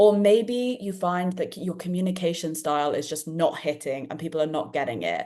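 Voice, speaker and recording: A woman with a British accent and a dark, mellow tone, fairly low in pitch, with ordinary pitch variation and hardly any pauses. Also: moderate pace. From England, London. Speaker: podcast host and dyslexia event organiser. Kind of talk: live online panel discussion. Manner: animated.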